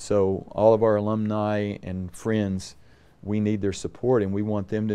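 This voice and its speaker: Moving at a moderate pace, a man speaks with a dark, mellow tone and fairly low pitch. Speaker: university president. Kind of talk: interview. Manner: clear and concise. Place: office.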